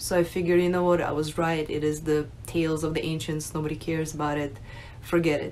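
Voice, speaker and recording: A woman speaks at a very fast pace in a very deep, low voice with monotone, flat intonation over light background noise. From Russia, moved to US at nine. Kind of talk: personal testimony, unscripted. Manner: hesitant, many fillers. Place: home room. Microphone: phone near.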